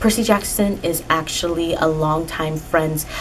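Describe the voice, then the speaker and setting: Noticeable background noise behind a woman's fairly low voice with fairly even intonation. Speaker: book reviewer. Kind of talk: casual talk to camera. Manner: monotone.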